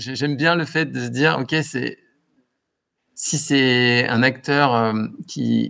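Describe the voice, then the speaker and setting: The man's pitch is medium, and it varies in an ordinary way. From western France, Anjou. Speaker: entrepreneur. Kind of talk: casual interview.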